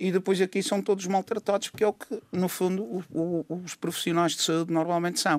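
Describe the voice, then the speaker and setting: Against a silent background on a very clean recording, a man talks at a fairly quick pace. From Madeira, Portugal. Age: 60s. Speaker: doctor and political commentator. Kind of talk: radio panel discussion.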